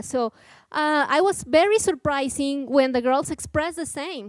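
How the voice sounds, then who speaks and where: A woman speaks in a high pitch with a Mexican accent. The sound is dry and close with no echo, and the recording is very clean with a silent background. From Mexico. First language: Spanish. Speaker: nonprofit program coordinator. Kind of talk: conference talk. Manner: halting.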